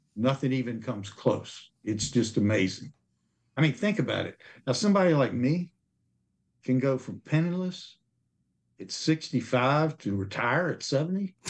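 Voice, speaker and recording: Breathy at times, a man speaks with lively intonation at a medium pitch and moderate pace, leaving long, frequent pauses. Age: 60s. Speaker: insurance telesales agent. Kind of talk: casual interview chat. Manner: earnest, determined, slightly halting.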